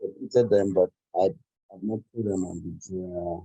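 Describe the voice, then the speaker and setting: The voice is a man's. He keeps a moderate pace. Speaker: student. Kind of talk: question in online class. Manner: halting; quiet.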